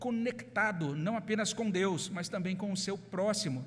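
A man with a Brazilian accent at a fairly slow pace, ordinary pitch variation and audible room echo. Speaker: pastor. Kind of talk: sermon.

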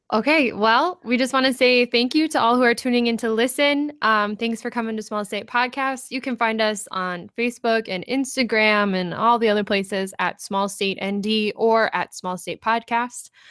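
A woman with an Upper Midwest accent, fairly high pitch, ordinary pitch variation, a moderate pace, hardly any pauses, and a very clean recording with a silent background. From North Dakota (Ray). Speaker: podcast host. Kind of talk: interview.

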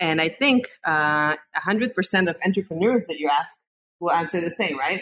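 A woman uses an ordinary speaking voice at a fairly low pitch. Her pace is moderate and her intonation lively. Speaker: podcast host. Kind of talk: interview. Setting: video call.

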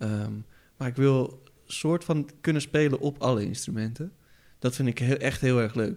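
In a very clean recording with a silent background, a man talks fairly slowly at a medium pitch with ordinary pitch variation. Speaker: podcast host. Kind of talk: casual chat. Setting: studio. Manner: animated.

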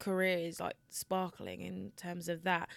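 Speaking at a medium pitch, a woman is captured on a very clean recording with a silent background. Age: 20s. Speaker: podcast co-host. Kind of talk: casual chat.

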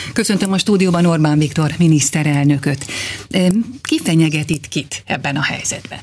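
Moderate pace, with noticeable background noise. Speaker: radio interviewer. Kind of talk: radio interview. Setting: studio.

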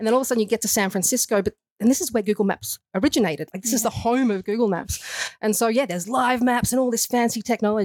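Speaking with an Australian accent, a woman rattles along at a very fast pace in a fairly high pitch. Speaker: nutritionist. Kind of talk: casual interview. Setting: studio.

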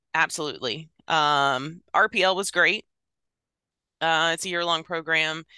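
A woman's fairly low voice has a bright, sharp tone and fairly even intonation, with long, frequent pauses and a dry, close sound with no echo. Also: quiet background. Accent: American. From Virginia. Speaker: emergency dispatch training coordinator. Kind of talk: interview conversation.

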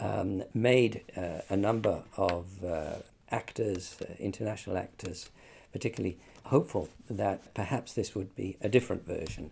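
Recorded very cleanly over a silent background, a man with a New Zealand accent talks in a fairly low, somewhat breathy voice. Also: ordinary pitch variation, moderate pace. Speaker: UN human rights expert. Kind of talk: interview. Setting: studio.

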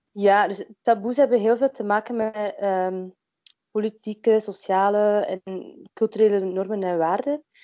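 A woman's dark, mellow voice at medium pitch, with fairly even intonation and a fairly slow pace, in a dry, close sound with no echo. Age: 20s. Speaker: midwife and workshop founder. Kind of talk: interview. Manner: hesitant, many filler sounds.

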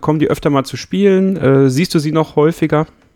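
A man with a plain, everyday voice, a fairly quick pace and ordinary pitch variation. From Münsterland, Germany. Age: 20s. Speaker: podcast co-host. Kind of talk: casual chat.

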